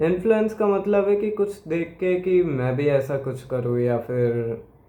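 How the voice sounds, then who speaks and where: With audible room echo around him, a man speaks in a lively intonation. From Gujarat, India. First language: Gujarati (speaking Hindi). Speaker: YouTuber. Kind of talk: opinion monologue. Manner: hesitant, with fillers.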